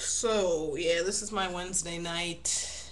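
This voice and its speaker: Mumbling at a medium pitch, a woman keeps a fairly even intonation over noticeable background noise and audible room echo. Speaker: video blogger. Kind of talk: casual vlog monologue. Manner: halting.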